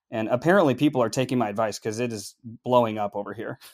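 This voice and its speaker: On a very clean recording with a silent background and a dry, close sound with no echo, a man with an American accent talks very fast at a medium pitch. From US Upper Midwest, Minneapolis. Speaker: sales professional in tech. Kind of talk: podcast interview.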